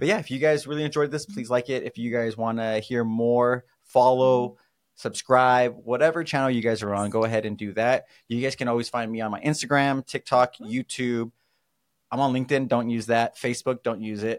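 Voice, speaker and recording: A plain, everyday voice from a man with an American accent, medium pitch, fairly even intonation and fairly quick pace, dry and close with no echo in a very clean recording with a silent background. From California. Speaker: mortgage podcast host. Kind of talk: casual chat.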